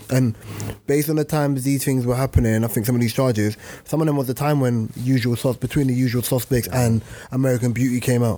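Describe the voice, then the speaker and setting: Very fast and very even in loudness, a man talks with fairly even intonation. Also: medium pitch for a man. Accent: London. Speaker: podcast host. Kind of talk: casual chat. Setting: studio.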